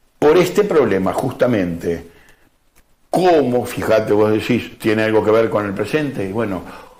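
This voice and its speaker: Lively intonation marks this man's medium-pitched voice. He keeps a moderate pace, and the room echo is audible. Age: 60s. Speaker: historian and author. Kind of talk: TV interview.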